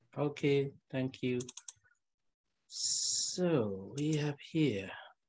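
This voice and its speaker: Speaking very slowly, a man with a Burmese accent uses a fairly high pitch. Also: ordinary pitch variation. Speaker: Buddhist monk teacher. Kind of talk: lecture. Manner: halting.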